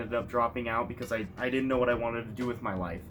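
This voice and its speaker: A medium-pitched man with an American accent, music in the background. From United States. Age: 20s. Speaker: YouTuber. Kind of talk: casual vlog monologue.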